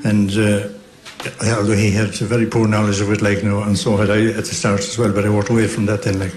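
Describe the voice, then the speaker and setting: A man speaks very fast in a West Cork accent, his fairly low voice monotone and flat. Audible room echo and noticeable background noise fill the recording. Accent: West Cork Irish. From Ireland, West Cork (Beara Peninsula). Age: 70s. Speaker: traditional fiddle player and composer. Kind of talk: radio interview. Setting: hotel broadcast. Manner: halting.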